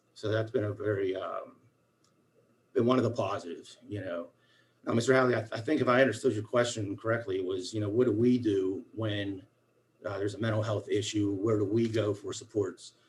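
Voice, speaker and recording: Fairly low in pitch, a man speaks at a fairly quick pace. His voice is somewhat breathy. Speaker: school special education coordinator. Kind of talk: formal meeting report. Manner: fast; animated.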